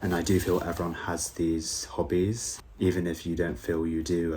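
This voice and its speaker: A man's very deep, low, somewhat breathy voice in a British accent, with ordinary pitch variation. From UK. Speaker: YouTuber, school learning support assistant. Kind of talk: reflective vlog monologue. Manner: casual, with fillers.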